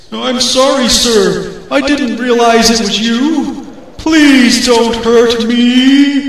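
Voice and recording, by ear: In a cartoonish character voice, a man speaks at an extremely high pitch. He goes very slowly, and there is a strong echo.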